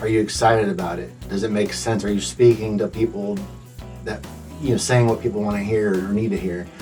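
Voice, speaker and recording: Music plays in the background as a man talks at a fairly quick pace with an American accent. His pitch is fairly low and his intonation lively. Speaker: songwriter. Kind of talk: radio interview answer. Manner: laid-back.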